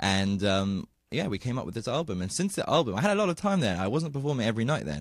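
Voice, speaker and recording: With a British accent, a man speaks at medium pitch and a very fast pace, his pitch swinging very widely on a very clean recording with a silent background. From England, London. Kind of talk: radio interview. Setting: radio studio.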